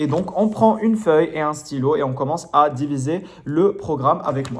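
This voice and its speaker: A man's fairly high voice with lively intonation, at a moderate pace, with audible room echo. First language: not French (speaking French). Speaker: French literature tutor. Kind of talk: lecture. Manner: hesitant, many fillers.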